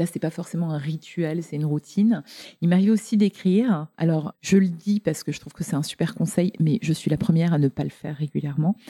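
A woman talks at a fairly quick pace with a fairly low pitch and ordinary pitch variation. Her tone is dark, mellow and somewhat breathy, with a dry, close sound and no echo. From Lorraine, France. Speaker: entrepreneur and author. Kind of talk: interview conversation.

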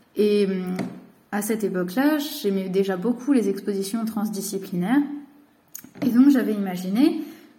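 A woman's fairly high voice comes at a fairly slow pace with ordinary pitch variation. Audible room echo is present. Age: 20s. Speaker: cultural mediator and art teacher. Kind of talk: recorded personal message.

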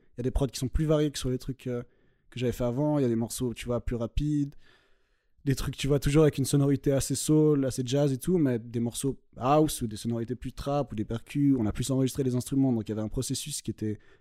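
A man's medium-pitched, dark and mellow voice at a very fast pace, with fairly even intonation, a dry, close sound with no echo, and a very clean recording over a silent background. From French-speaking Switzerland, Vaud. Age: 20s. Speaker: hip-hop beatmaker. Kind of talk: casual interview. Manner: halting, repetitive.

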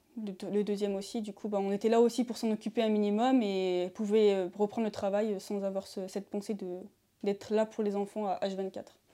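A woman's voice, dark and mellow in tone, comes at a moderate pace. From France, Isère. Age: 20s. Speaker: university student and amateur footballer. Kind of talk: interview. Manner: halting, with fillers.

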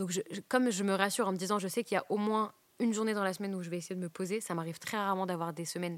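At a very fast pace, a woman speaks with fairly even intonation. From northern France, Douai. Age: 20s. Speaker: stand-up comedian. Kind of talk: casual interview chat. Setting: comedy club venue.

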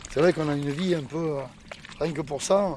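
A fairly quick man's voice, fairly high in pitch with ordinary pitch variation, over noticeable background noise. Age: 50s. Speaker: oyster farmer. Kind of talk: interview.

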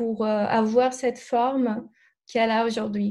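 Against a quiet background, a woman with a Brazilian accent speaks at a very slow pace in a fairly high voice with a dark, mellow tone and fairly even intonation. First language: Portuguese (speaking French). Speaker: alternative therapist. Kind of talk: interview. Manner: hesitant, many fillers.

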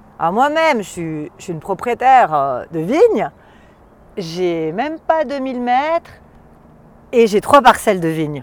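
A woman at a very slow pace, with very wide pitch swings and long, frequent pauses. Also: fairly high pitch for a woman, big swings in loudness. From Valais, Switzerland. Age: 40s. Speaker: wine expert. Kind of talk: casual chat. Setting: outdoors. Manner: animated; halting.

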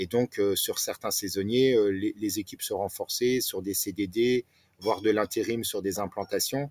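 The sound is dry and close, with no echo. A man talks at a fairly slow pace. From France, Nancy (Lorraine). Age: 40s. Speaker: restaurant owner, former retail manager. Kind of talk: interview. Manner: hesitant, many fillers.

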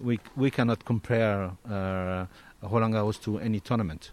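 A man speaks with a French accent. His pitch variation is ordinary. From Corsica. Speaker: national tennis federation president. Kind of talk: interview.

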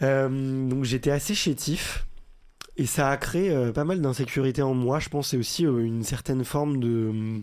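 A man's normal speaking voice at a fairly slow pace, medium in pitch with ordinary pitch variation and very even loudness, on a very clean recording with a silent background. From France, Paris. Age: 30s. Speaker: entrepreneur and podcaster. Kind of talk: casual interview.

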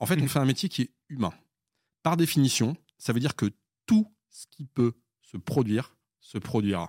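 Recorded very cleanly against a silent background, a man at a medium pitch speaks in a dry, close sound with no echo, using very wide pitch swings, big swings in loudness and long, frequent pauses. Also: moderate pace. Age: 40s. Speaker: consulting company founder and CEO. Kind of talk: interview. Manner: halting, many repetitions.

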